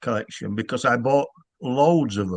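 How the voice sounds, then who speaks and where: A man speaks with a Yorkshire accent. His intonation is lively. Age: 60s. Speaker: author. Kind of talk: casual chat. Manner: halting.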